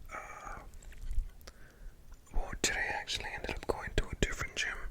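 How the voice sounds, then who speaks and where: Whispered words sit within noticeable background noise. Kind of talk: ASMR whispered talk about a gym workout. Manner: whispered, soft-spoken.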